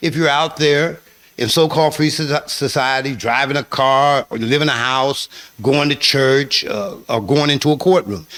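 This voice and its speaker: A man speaks at a fairly high pitch. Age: 60s. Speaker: formerly incarcerated man, prison reform advocate. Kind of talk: radio interview. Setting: radio studio. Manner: halting, frequent filler words.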